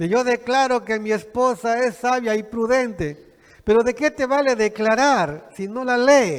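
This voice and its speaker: The speaker is a man with an extremely high pitch. He talks at a very slow pace. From Peru, Piura (Chulucanas). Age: 60s. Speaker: pastor. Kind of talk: sermon.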